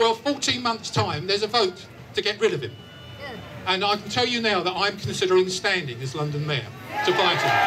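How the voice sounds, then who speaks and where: A raised, projected voice moves at a fairly quick pace yet breaks into long, frequent pauses, with noticeable background noise throughout. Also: man, high pitch for a man. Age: 60s. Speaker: campaign group leader speaking at a rally. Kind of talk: rally speech. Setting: outdoor rally with crowd and PA.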